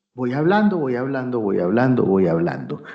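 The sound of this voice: In a booming, put-on character voice, the speaker goes at a moderate pace with very wide pitch swings. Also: man, medium pitch for a man.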